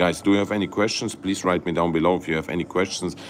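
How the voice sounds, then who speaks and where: A man with a very deep, low voice speaks over noticeable background noise. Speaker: crypto YouTuber. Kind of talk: livestream market analysis. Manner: halting, many fillers and restarts; animated.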